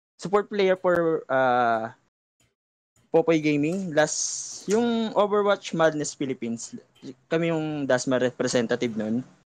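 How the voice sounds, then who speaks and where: A man with a Filipino accent speaks at a fairly slow pace, his pitch swinging very widely. The sound is dry, with no echo. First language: Tagalog. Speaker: general manager candidate, esports player; candidate. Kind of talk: candidate Q&A panel. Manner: halting. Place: home room. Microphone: video call.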